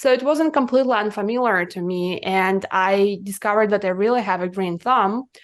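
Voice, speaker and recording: A woman with a Russian accent, hardly any pauses, and a quiet background. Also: medium pitch for a woman, ordinary pitch variation, fairly quick pace. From Russia, Siberia (Irkutsk). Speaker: cannabis business consultant. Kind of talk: podcast interview.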